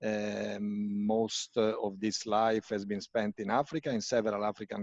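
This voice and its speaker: A man with an Italian accent, ordinary pitch variation, and a dry, close sound with no echo. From Italy. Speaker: UN agency country representative, medical doctor. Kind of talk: talk in a panel discussion. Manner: hesitant, many fillers.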